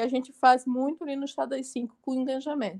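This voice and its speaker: A woman projects a raised voice at a high pitch with a bright, sharp tone, recorded dry and close with no echo. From Santa Catarina, southern Brazil. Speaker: entrepreneur and TV show co-host. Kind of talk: casual interview chat.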